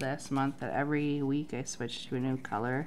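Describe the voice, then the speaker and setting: A woman talks over noticeable background noise. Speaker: planner vlogger. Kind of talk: tutorial. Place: home room.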